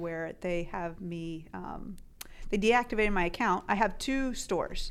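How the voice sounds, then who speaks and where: The speaker is a woman with an American accent. She takes a fairly slow pace. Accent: slight Southern drawl at times. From US South (Tennessee). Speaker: Amazon seller and podcast co-host. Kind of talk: casual chat.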